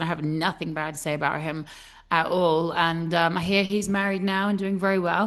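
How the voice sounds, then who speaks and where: A woman with a British accent, fairly low in pitch, fairly quick and with fairly even intonation. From Britain. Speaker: podcast host. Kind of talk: casual interview chat.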